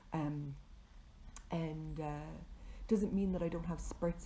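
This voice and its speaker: A woman speaks with vocal fry. Her tone is dark and mellow. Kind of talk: casual talk to camera. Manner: hesitant, many filler words.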